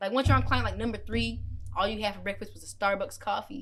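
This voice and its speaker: Fairly quick speech with music in the background. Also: woman. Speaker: tattoo artist and shop owner. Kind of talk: casual interview chat. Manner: quiet, soft-spoken.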